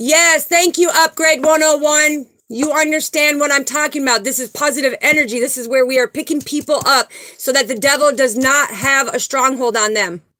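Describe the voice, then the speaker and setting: A raised, projected voice with a bright, sharp tone and ordinary pitch variation. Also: woman, high pitch for a woman, moderate pace. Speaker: spiritual livestream host. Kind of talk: live stream chat with viewers. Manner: animated.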